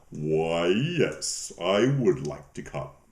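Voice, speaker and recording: A put-on character voice from a man, very deep and low in pitch. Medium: read story.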